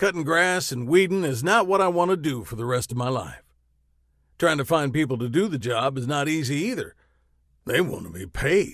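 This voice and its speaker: Putting on a gruff, growling character voice at a fairly high pitch, a man speaks at a moderate pace with lively intonation. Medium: read story. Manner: growling, blunt.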